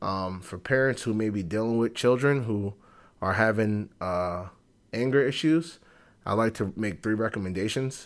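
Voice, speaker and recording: An unremarkable speaking voice from a man with an American accent, fairly low pitch, ordinary pitch variation, and a moderate pace, on a very clean recording with a silent background. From Bronx, New York. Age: 30s. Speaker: podcast host, therapist and professor. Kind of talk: solo podcast monologue. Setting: recording at workplace. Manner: many fillers (um, uh).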